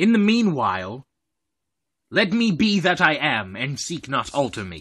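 A man's put-on character voice, fairly high in pitch with very wide pitch swings, against a quiet background. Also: moderate pace. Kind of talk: Shakespeare monologue performance.

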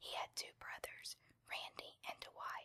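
Someone is whispering. The pace is fairly slow. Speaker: ASMR video creator. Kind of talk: whispered reading aloud of a biography, ASMR style. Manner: soft, hushed, slow and even, intimate.

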